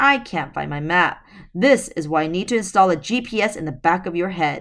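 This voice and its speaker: A woman's raspy, growling put-on character voice at a fairly quick pace. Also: medium pitch for a woman. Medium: read story. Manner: gruff, brusque.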